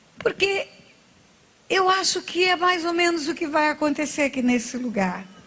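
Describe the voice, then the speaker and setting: A woman's high voice swings very widely in pitch as she talks at a moderate pace against noticeable background noise. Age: 60s. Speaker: pastor. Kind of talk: sermon.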